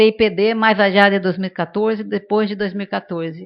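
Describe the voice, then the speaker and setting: The woman speaks at a medium pitch. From Brazil, São Paulo. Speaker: panelist at demography seminar. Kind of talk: panel discussion. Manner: many filler hesitations.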